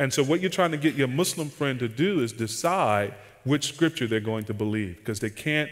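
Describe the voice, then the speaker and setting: A man with lively intonation at a moderate pace against a quiet background. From US Southeast. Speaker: pastor and conference seminar speaker; pastor, conference speaker. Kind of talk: casual seminar talk with Q&A. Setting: conference seminar room with audience microphone. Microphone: headset.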